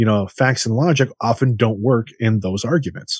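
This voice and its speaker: A man's somewhat breathy voice, medium in pitch, with ordinary pitch variation and a moderate pace, dry and close with no echo against a quiet background. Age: 40s. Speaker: podcast co-host. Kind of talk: casual chat.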